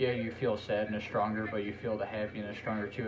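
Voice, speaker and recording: A man's fairly low, monotone, flat voice amid audible room echo and noticeable background noise. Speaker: podcast host. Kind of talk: casual chat.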